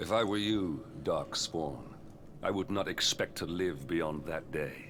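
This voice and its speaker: A man's rumbling, very deep put-on character voice at a fairly slow pace, with clear background noise. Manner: grave, foreboding.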